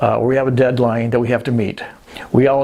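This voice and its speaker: A man speaks at a medium pitch in a monotone, flat way. Noticeable background noise runs under his voice. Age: 60s. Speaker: self-employed entrepreneur vlogger. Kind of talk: casual vlog monologue. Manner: halting, with many fillers.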